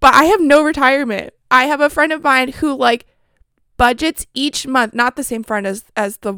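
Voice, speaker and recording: High-pitched and bright, a woman speaks in a raised, projected voice with a sharp tone, lively intonation and an animated tone at a fairly quick pace. The sound is dry and close with no echo, a very clean recording with a silent background. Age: 20s. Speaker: podcast host. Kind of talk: casual chat.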